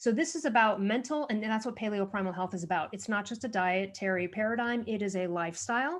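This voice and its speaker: A woman talks very fast at a fairly high pitch. She hardly pauses at all. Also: lively intonation. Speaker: author and thyroid health advocate. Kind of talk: podcast interview. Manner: animated.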